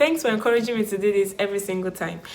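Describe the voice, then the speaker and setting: With noticeable background noise and audible room echo, a woman speaks fairly quickly at a medium pitch with ordinary pitch variation. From Nigeria. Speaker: YouTuber, immigrant vlogger. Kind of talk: casual vlog monologue. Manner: animated.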